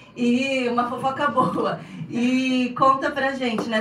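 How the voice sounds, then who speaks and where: Audible room echo and noticeable background noise behind a woman speaking at a fairly slow pace. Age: 40s. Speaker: podcast host. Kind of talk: casual interview.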